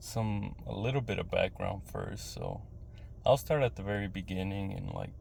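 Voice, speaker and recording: With audible room echo, a man uses lively intonation at fairly low pitch, with vocal fry. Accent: American. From West Texas. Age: 30s. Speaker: vlogger. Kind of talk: personal monologue. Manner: halting.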